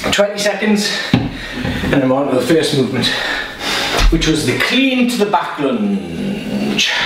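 Against noticeable background noise and audible room echo, a man speaks at a very slow pace. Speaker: fitness instructor. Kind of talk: workout instruction. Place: home room.

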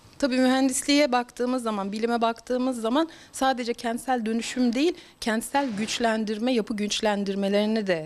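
A woman speaks in a plain, everyday voice, fairly high in pitch. Her pace is moderate, with hardly any pauses. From Turkey, Bursa province (Gemlik). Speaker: politician and geological engineer. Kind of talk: interview statement.

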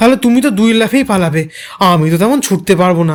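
Reading aloud in a natural voice. The intonation is lively.

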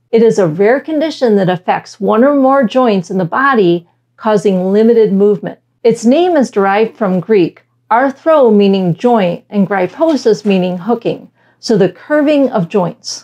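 With an American accent, a woman speaks in a dark, mellow tone and lively intonation. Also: moderate pace. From Michigan, US. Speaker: science educator. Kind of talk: scripted narration. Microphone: lapel.

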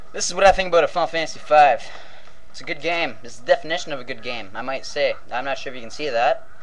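The speech runs at a very fast pace with ordinary pitch variation. Light background noise can be heard. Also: man, fairly high pitch for a man. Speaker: video game vlogger. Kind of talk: profane angry rant recounting a game death. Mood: joking, profane, animated. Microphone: webcam.

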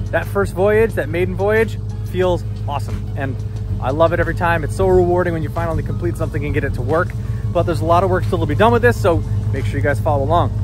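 Over clear background music, a man talks at a very fast pace with a very deep, low pitch, the sound dry with no echo. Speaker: car restoration vlogger. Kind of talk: casual vlog chat. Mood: pleased, upbeat. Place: street. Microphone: phone near.

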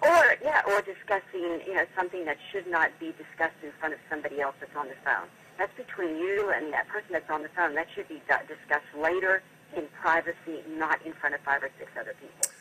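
Fairly quick pace over light background noise. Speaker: radio guest. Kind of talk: interview answer.

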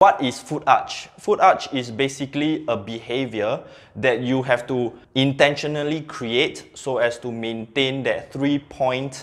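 At a fairly slow pace, a man speaks with ordinary pitch variation. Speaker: strength coach. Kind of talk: tutorial. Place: gym.

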